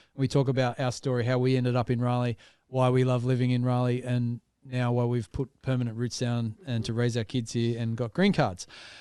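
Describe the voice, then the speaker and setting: In an Australian accent, a man talks at a fairly quick pace with a medium pitch, a dark, mellow tone, and monotone, flat intonation. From Australia, small town north of Sydney. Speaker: podcast co-host. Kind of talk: casual chat.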